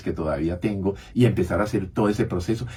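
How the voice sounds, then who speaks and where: Lively intonation marks this man's speech. His pitch is very deep and low, and his voice is somewhat breathy. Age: 70s. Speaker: physician, radio health show co-host. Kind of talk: radio talk show conversation.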